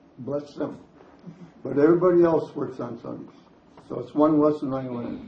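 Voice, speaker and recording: A man's fairly high voice with ordinary pitch variation at a fairly slow pace, with audible room echo. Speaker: senior resident sharing memories. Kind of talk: storytelling talk.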